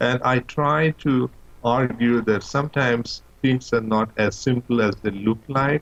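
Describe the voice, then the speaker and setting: A man speaks in a Bengali accent at a fairly slow pace. His pitch is medium, with ordinary variation. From Bangladesh. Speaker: professor. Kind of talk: interview.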